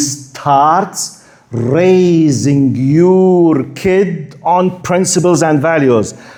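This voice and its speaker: A man's dark, mellow voice with a Jordanian accent, fairly high in pitch with ordinary variation, very even in loudness, and with audible room echo. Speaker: Islamic preacher. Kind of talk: lecture. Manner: halting, repeats words.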